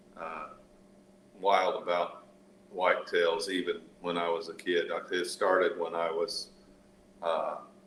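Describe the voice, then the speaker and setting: A man with an American accent talks at a moderate pace, and noticeable background noise sits behind him. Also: long, frequent pauses. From US Midwest, central Indiana (Rush County). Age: 60s. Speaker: hunter. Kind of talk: casual chat. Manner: halting, many fillers and repeats.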